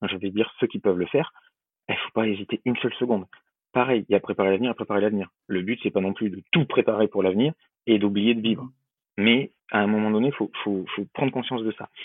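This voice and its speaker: A man with a fairly low-pitched voice talks very fast. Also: fairly even intonation. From Bordeaux, southwest France. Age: 20s. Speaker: wealth management advisor. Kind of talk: podcast interview. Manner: verbose, repetitive hesitations.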